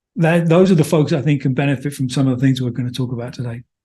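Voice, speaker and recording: A man speaks with a slight English accent and a dark, mellow tone. His pitch varies in an ordinary way against a quiet background. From London, England. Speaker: business consultant. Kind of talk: interview.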